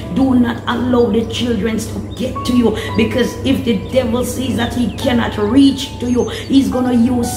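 Clear music plays in the background. Over it, a woman speaks at a fairly slow pace. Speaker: prayer minister. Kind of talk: sermon. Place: home room. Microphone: phone near.

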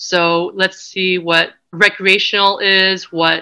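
Her tone is bright and sharp, and this woman keeps a fairly even intonation over a quiet background. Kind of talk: lecture. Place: home room. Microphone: webcam.

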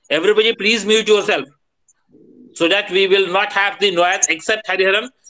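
A man's raised, projected voice comes out high in pitch and bright and sharp in tone, moving at a fairly quick pace with fairly even intonation. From India. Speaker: professor, teacher trainer; teacher trainer. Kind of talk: online lecture. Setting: video call. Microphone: video call.

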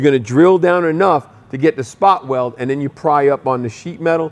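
This man's speech moves along fairly quickly, its pitch varying in an ordinary way. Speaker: show host mechanic. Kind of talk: tutorial. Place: garage.

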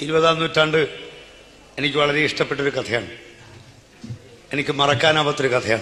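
The voice has fairly even intonation over noticeable background noise. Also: man, fairly high pitch for a man. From Alappuzha, Kerala. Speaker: Kathaprasangam storyteller. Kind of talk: reminiscing talk about his own story.

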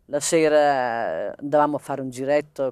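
A woman's very deep, low voice, dry with no echo, over a quiet background. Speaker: partisan's widow; interviewee. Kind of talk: testimony interview. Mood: calm, reflective. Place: open country.

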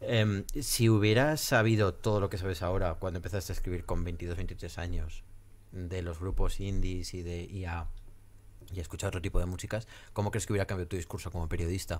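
At a fairly quick pace, a man with a very deep, low voice speaks in fairly even intonation. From Spain, Zaragoza; Spain. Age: 30s. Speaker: podcast host. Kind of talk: interview. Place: studio. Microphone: studio mic.

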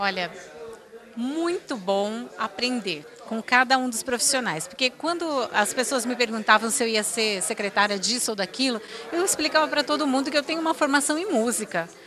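A high-pitched woman at a moderate pace, lively in intonation, with a dry sound with no echo and noticeable background noise. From Campinas, Brazil; Brazil. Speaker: city first lady; interviewee. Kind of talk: interview. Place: office. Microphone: handheld.

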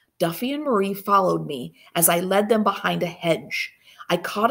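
Intonation here is lively. It's an unforced reading voice.

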